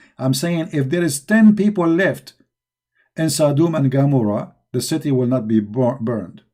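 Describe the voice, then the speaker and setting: A man with a non-native accent speaks at a moderate pace, his fairly high voice carrying a dark, mellow tone. His intonation is lively. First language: not English. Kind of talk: live-stream polemic monologue. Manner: heated, mocking; halting with restarts.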